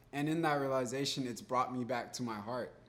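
The clip has audible room echo. A man speaks at medium pitch. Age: 20s. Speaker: marketing agency owner and artist. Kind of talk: interview. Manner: animated.

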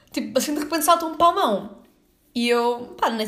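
In a Lisbon accent, a woman talks at a moderate pace with ordinary pitch variation, and the room echo is audible. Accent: Lisbon European Portuguese. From Portugal, Lisbon area (São João do Estoril). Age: 20s. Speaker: podcaster and tour guide. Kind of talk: casual solo monologue.

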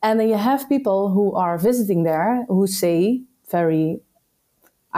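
A woman's dark, mellow voice at medium pitch, with very wide pitch swings and a Dutch accent. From Netherlands. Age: 30s. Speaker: entrepreneur. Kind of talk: casual chat.

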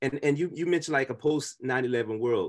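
Over a quiet background, a man with an American accent speaks at a moderate pace in a fairly high pitch. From US Midwest (Kansas City, Chicago suburbs). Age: 40s. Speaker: musician and university chaplain. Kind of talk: casual chat.

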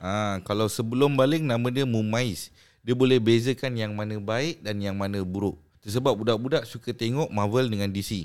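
A man's medium-pitched, unremarkable speaking voice, moderate in pace and ordinary in pitch variation. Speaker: Islamic religious teacher. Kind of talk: casual podcast interview on religion. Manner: code-switching Malay and English.

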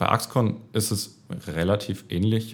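A man talks with lively intonation and vocal fry. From Baden-Württemberg, Germany. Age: 30s. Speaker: management consultant. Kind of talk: interview. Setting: office.

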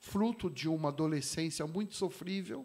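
This man's voice sits at a high pitch. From São Paulo, east zone (Vila Carrão). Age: 50s. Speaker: pastor and motorcycle club president. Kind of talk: casual interview chat.

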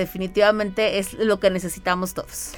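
The speech moves at a fairly quick pace. Its intonation stays monotone and flat. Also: woman. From Mexico City. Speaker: entrepreneur and mother. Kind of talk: radio interview. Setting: radio studio.

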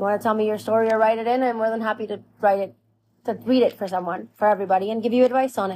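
Her voice is fairly high yet dark and mellow in tone. The woman talks at a very fast pace with monotone, flat intonation. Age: 20s. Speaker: podcast host. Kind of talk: personal monologue. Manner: casual, conversational.

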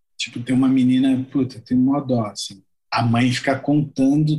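A man's dark, mellow voice at a medium pitch and moderate pace, with monotone, flat intonation. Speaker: musician. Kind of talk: casual chat.

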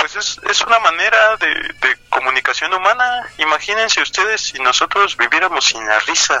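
A man speaks at a high pitch with very wide pitch swings. Noticeable background noise runs behind him. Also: moderate pace. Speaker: podcast co-host, comedian. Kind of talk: casual comedic chat.

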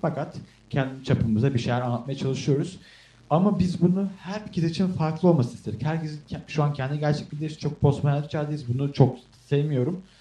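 A man's somewhat breathy, fairly high-pitched voice with a dark, mellow tone, at a fairly quick pace. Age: young. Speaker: podcast co-host, film student. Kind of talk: casual chat.

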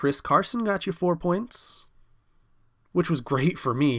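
Here a man speaks at a fairly slow pace. The recording is very clean, with a silent background. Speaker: fantasy football podcast host. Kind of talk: casual podcast monologue. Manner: self-deprecating, jokey.

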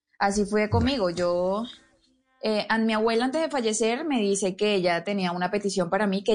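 A woman talks at a fairly quick pace with ordinary pitch variation over background music. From Venezuela, Barinas (llanos). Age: 20s. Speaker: violinist and singer. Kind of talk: interview.

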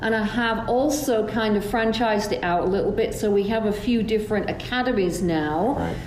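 Over noticeable background noise, a woman with a fairly high pitch talks at a moderate pace with hardly any pauses. Her loudness stays very even, and her pitch variation is ordinary. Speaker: hairdressing educator. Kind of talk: interview.

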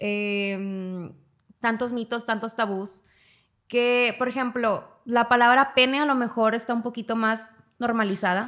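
A woman with an unremarkable speaking voice talks at a fairly slow pace, her pitch fairly high and her intonation fairly even. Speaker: podcast host. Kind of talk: casual chat.

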